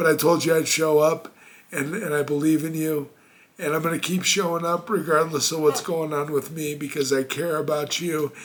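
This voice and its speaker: Delivered at a moderate pace, the voice has a warm tone and monotone, flat intonation, with noticeable background noise. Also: man. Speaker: motivational speaker. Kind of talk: motivational talk. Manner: casual, warm direct address.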